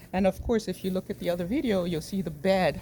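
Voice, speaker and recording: Soft-spoken and fairly low-pitched, a woman talks at a fairly quick pace with a dark, mellow tone. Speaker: home gardener vlogger. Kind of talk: casual garden vlog. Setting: outdoors in garden. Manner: soft, low near plants.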